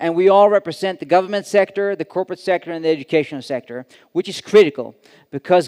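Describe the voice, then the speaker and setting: Against a quiet background, a man with a Swedish accent speaks at a very fast pace in a dry, close sound with no echo. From Sweden. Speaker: conference director, event host. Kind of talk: conference opening remarks. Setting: stage with audience. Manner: hesitant, many fillers.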